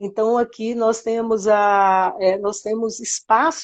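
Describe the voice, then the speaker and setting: Fairly even in intonation, a woman talks at a very slow pace. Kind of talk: interview.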